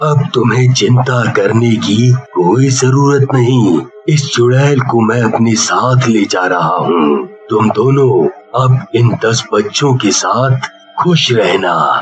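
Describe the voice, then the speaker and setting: A man's cartoonish character voice at a medium pitch, delivered at a very slow pace. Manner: authoritative, grave.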